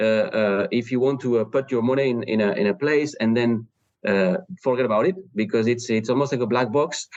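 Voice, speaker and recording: A man with a French accent speaks at a medium pitch and a fairly quick pace, keeping his loudness very even. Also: ordinary pitch variation. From France. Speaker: startup founder. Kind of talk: interview. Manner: halting, many fillers.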